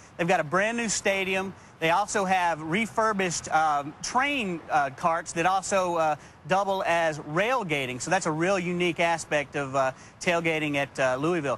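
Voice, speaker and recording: A man talks at a moderate pace in a high pitch with ordinary pitch variation and a bright, sharp tone. The sound is dry with no echo, and there is light background noise. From Texas. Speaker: tailgating association representative. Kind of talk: TV interview. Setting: TV studio. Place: street.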